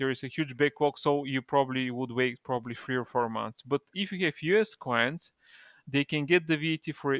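Against a quiet background, someone talks with a Bulgarian accent, the sound dry and close with no echo. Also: man. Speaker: e-commerce partnerships manager. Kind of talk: casual interview.

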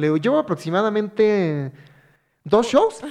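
Here a man is speaking. His intonation is lively. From Mexico, Hidalgo. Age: 30s. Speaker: stand-up comedian. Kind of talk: casual chat.

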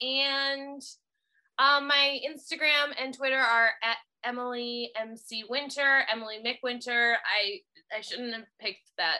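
A woman with an American accent, a bright, sharp tone and a raised, projected voice. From US Midwest, Chicago suburbs. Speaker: TV writer and stand-up comedian. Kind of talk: casual chat.

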